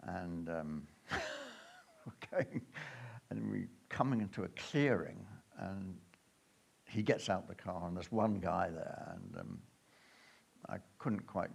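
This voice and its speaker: Very slow and full of long, frequent pauses, a man's very deep, low voice shows vocal fry, lively intonation and big swings in loudness. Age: 70s. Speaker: adventurer giving a travel talk. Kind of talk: illustrated talk to an audience. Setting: stage with audience. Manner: halting, many fillers.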